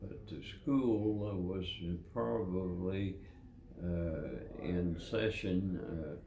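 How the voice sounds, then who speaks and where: The voice is somewhat breathy and dark, mellow in tone, moving at a very slow pace. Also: man, very deep, low pitch for a man, ordinary pitch variation. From Kentucky. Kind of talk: interview answer. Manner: slow, hesitant.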